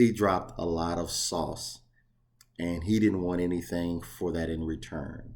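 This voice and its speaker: Amid audible room echo, a man with a very deep, low pitch speaks at a fairly slow pace with fairly even intonation. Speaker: box truck owner operator and YouTuber. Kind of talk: casual vlog talk. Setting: outdoors facing the ocean, on vacation.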